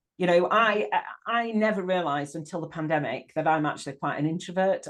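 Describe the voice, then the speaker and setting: A woman speaks with a northern English accent. Her intonation is lively, and the background is quiet. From northern England. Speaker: life coach. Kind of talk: casual interview chat. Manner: halting, repeats words.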